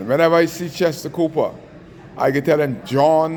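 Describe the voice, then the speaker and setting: Moderate tempo from a man amid noticeable background noise. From Bahamas. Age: 60s. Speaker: taxi union advocate. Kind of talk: angry rant. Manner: animated.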